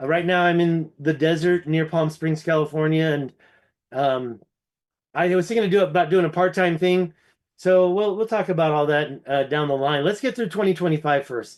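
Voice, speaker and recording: A man with an American accent talks at a moderate pace in a plain, everyday voice. His pitch is fairly high, with ordinary variation, against a quiet background. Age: 50s. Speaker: ancient history researcher. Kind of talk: casual chat.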